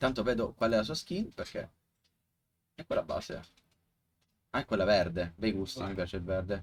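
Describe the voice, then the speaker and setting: Speaking with an Italian accent, a man with a fairly low, somewhat breathy voice moves at a fairly quick pace with ordinary pitch variation and long, frequent pauses. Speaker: esports commentator. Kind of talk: live commentary. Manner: halting.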